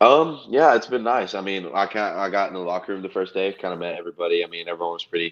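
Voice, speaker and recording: In a Texan accent, a man with a very deep, low voice talks at a very fast pace with ordinary pitch variation. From Texas, small town. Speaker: college football player. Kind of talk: casual interview. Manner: halting, many fillers.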